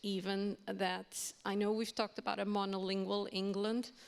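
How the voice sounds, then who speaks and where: A woman speaks at a medium pitch. She talks in a Portuguese accent. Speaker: university language lecturer on a panel. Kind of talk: panel discussion.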